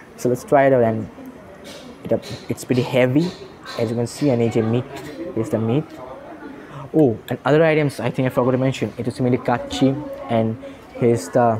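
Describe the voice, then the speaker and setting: Noticeable background noise runs under this recording. A man talks at a fairly quick pace with fairly even intonation. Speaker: food vlogger. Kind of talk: casual vlog chat. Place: cafe. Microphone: phone near.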